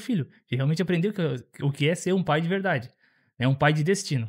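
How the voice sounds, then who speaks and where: Heard in a very clean recording with a silent background, the speaker moves at a fairly quick pace with ordinary pitch variation. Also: man. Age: 30s. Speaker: father, church member. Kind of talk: podcast interview.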